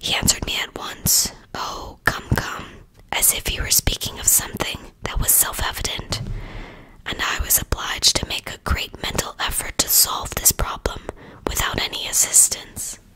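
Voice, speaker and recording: Soft-spoken whispering at a moderate pace comes over noticeable background noise. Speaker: reader of a children's book. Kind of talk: audiobook read-aloud. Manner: soft whispered storybook reading.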